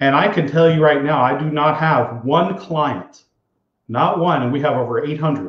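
With audible room echo, a man speaks at a moderate pace in a somewhat breathy, fairly high voice with ordinary pitch variation. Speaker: financial advisor. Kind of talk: live show address to clients. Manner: sincere, conversational.

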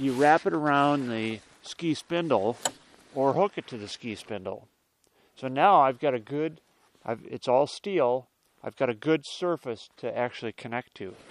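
A man talks at a moderate pace with lively intonation and big swings in loudness. The sound is dry, with no echo. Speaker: snowmobile owner demonstrating. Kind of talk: tutorial. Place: open country.

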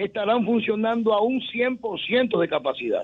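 The background is quiet. A man with a Dominican accent speaks at a high pitch with ordinary pitch variation. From Dominican Republic. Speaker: municipal risk management official. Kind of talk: interview. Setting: phone call. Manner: formal. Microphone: phone line.

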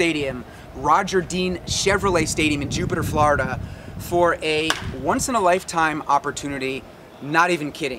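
A man talks at a fairly quick pace with ordinary pitch variation over noticeable background noise. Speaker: sports vlogger. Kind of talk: casual vlog chat. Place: stadium. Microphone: camera far.

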